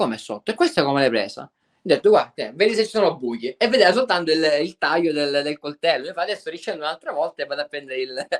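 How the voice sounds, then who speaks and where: Delivered at a very fast pace with hardly any pauses, the voice swings very widely in pitch, recorded with a dry, close sound and no echo. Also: man, fairly high pitch for a man. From Sicily. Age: 20s. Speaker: spearfisherman. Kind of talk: podcast interview answer.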